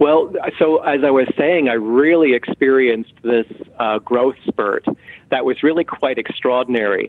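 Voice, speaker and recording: A man speaks in a normal speaking voice at a moderate pace, with ordinary pitch variation. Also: medium pitch for a man. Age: 50s. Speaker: author and medium. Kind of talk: interview.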